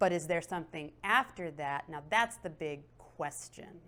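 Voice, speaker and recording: This is a woman speaking. Her pace is very slow. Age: 30s. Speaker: tarot reader. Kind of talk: interview. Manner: casual, conversational with fillers.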